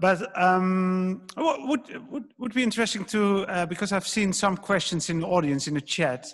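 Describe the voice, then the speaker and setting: This speaker has a Dutch accent and lively intonation, moving at a moderate pace with hardly any pauses. Noticeable background noise runs underneath. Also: man, high pitch for a man. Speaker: interviewer. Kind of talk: author interview. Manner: halting.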